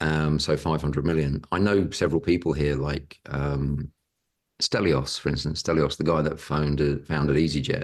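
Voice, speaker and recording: Very deep and low, a man's voice carries vocal fry and monotone, flat intonation. He speaks at a moderate pace. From Britain. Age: 60s. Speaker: property investor and educator. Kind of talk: podcast interview.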